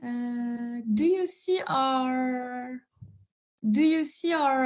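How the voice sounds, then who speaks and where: A speaker with a French accent talks with ordinary pitch variation. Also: woman. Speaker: psychologist. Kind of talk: webinar presentation.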